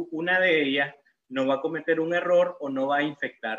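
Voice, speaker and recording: A man at a moderate pace, high in pitch. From Nicaragua, León. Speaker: dentist giving a lecture. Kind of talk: lecture.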